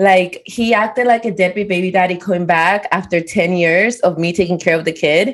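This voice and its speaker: A woman with a non-native accent talks at a moderate pace with hardly any pauses. Her medium pitch follows a fairly even intonation. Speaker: podcast co-host.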